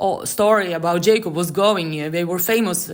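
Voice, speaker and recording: Someone with a non-native accent speaks at a moderate pace with ordinary pitch variation. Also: woman. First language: not English. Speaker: Torah teacher. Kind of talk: scripture commentary. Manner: halting.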